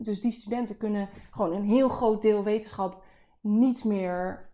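This very clean recording with a silent background captures a woman whose fairly high voice has a dark, mellow tone. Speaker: podcast co-host, PhD researcher. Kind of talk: casual chat.

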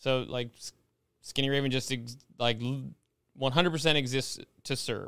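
At a moderate pace, a man with a medium pitch speaks in a bright, sharp tone with fairly even intonation. Long, frequent pauses break up his speech. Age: 40s. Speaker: business owner. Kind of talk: casual chat.

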